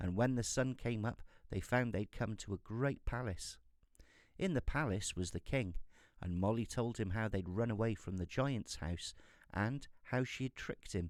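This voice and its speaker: In a British accent, a man speaks at a moderate pace and medium pitch with ordinary pitch variation, on a very clean recording with a silent background. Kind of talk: fairy tale reading. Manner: soft-spoken.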